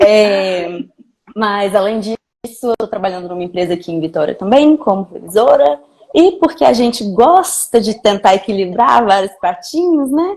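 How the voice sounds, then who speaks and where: A woman at a medium pitch and moderate pace, with very wide pitch swings. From Brazil, Minas Gerais (Belo Horizonte). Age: 20s. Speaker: video editor. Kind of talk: casual chat.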